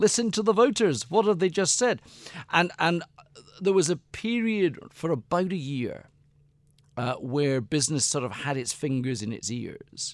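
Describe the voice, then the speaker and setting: With a Scottish accent, a man talks at a fairly high pitch, his voice moving in very wide pitch swings. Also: moderate pace. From Scotland. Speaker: author and business political adviser. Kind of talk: interview. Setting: studio.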